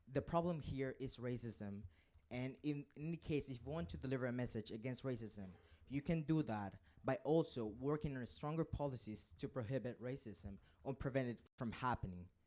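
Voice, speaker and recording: The voice has a non-native accent and a dark, mellow tone. It moves at a moderate pace with ordinary pitch variation. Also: man, medium pitch for a man. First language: not English. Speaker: student speaking from the gallery. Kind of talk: council debate speech.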